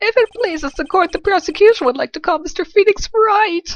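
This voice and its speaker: A woman performs a put-on character voice, squeaky and extremely high in pitch. She moves at a fairly quick pace with lively intonation. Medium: game stream. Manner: smug, condescending.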